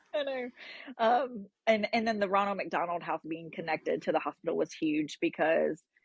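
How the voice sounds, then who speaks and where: In a normal speaking voice, a woman talks at a moderate pace with lively intonation. The sound is dry and close with no echo. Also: medium pitch for a woman. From North Carolina. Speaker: parent of transplant patient. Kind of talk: podcast interview.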